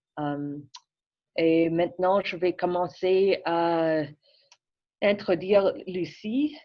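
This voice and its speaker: A woman speaks with an English accent at a fairly low pitch and a very slow pace. Her delivery has long, frequent pauses. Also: ordinary pitch variation. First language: English (speaking French). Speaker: public health physician. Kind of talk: presentation introduction. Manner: halting.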